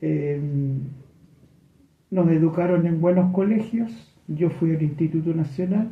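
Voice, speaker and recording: A high-pitched man speaks at a very slow pace with ordinary pitch variation and audible room echo. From Chile, Santiago (Ñuñoa). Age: 70s. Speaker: HIV activist. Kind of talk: radio interview.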